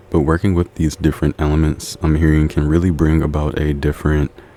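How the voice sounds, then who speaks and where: Background noise is noticeable. The pace is fairly quick. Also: man. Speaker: tarot reader. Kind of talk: tarot reading. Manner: fast; animated.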